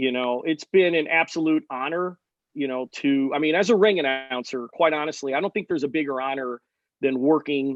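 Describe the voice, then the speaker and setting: Fairly high in pitch and fairly quick in pace, a man talks in an ordinary speaking voice with ordinary pitch variation. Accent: American. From United States. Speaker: ring announcer. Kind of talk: interview answer.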